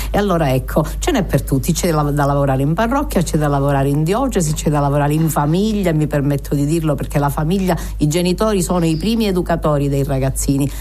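Speech at a very fast pace comes with very even loudness and ordinary pitch variation, against noticeable background noise. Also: woman, very deep, low pitch for a woman. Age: old. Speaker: radio host. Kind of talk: radio interview. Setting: studio.

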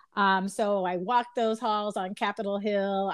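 Against a quiet background, a woman with an American accent speaks at a moderate pace in a plain, everyday voice at medium pitch. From Chicago. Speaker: county commissioner. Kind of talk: interview.

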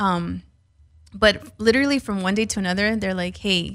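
A woman with an American accent at a moderate pace, on a very clean recording with a silent background. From San Fernando Valley, Los Angeles. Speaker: entrepreneur, CEO. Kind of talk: interview. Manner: casual, animated.

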